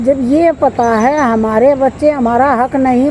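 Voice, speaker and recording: Over noticeable background noise, a woman speaks with fairly even intonation in a Haryanvi accent. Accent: Haryanvi-accented Hindi. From Haryana, India. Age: 60s. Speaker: vlogger giving life advice. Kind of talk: casual monologue to camera.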